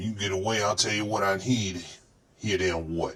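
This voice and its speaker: A man puts on a character voice, pitched fairly low, and talks at a moderate pace. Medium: audio drama. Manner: gruff, condescending.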